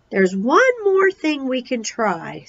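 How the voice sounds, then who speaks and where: A woman speaks in a put-on character voice. Her pitch is high and her pace fairly slow. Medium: read story.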